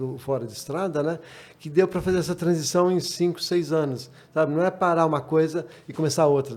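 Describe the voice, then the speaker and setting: Talking at a fairly quick pace, a man has an unremarkable speaking voice, a fairly high pitch and ordinary pitch variation. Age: 60s. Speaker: rally driver. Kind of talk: casual chat.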